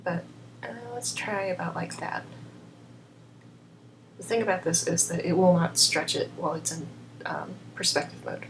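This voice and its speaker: A woman is speaking with noticeable background noise. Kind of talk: software tutorial narration. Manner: quiet, subdued.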